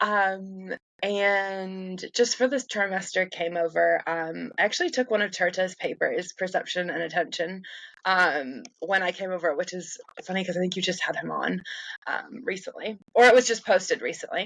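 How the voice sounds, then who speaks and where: A woman with an American accent speaks at a moderate pace with ordinary pitch variation. She has an ordinary speaking voice. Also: medium pitch for a woman. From United States. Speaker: neuroscience researcher and lecturer. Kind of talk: casual interview. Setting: remote call from home.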